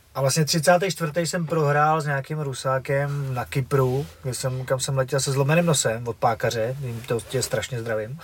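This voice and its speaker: A man with a Moravian accent, somewhat breathy, fairly high in pitch with ordinary pitch variation, at a fairly slow pace with hardly any pauses. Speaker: former kickboxer and fight organizer. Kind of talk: casual chat.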